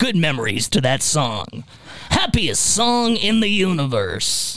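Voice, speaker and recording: The speaker is a man doing a put-on character voice. His pitch is high, and his pace is fairly slow. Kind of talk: 1950s movie premiere voice. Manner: announcer delivering reviews.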